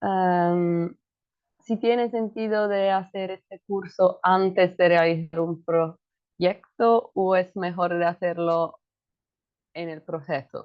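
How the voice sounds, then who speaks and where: Speaking at a very slow pace with a non-native accent, the woman holds a medium pitch and fairly even intonation. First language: not Spanish (speaking Spanish). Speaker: webinar participant. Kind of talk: Q&A question. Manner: halting.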